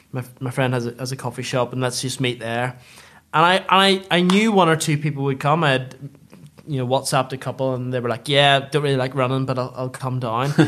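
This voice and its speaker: With a Northern Irish accent, a man talks at a fairly quick pace in a medium-pitched voice with ordinary pitch variation. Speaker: food retail businessman. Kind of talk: interview.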